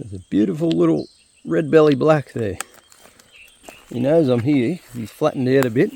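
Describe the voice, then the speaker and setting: At a fairly quick pace, a man in an Australian accent swings very widely in pitch and leaves long, frequent pauses. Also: medium pitch for a man, big swings in loudness. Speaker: gold prospecting vlogger. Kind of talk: casual vlog narration. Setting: outdoors in the bush, then at home.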